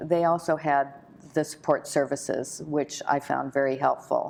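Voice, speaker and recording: A woman's very deep, low-pitched voice at very even loudness. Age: 60s. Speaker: breast cancer survivor and volunteer. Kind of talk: interview. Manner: halting, many fillers.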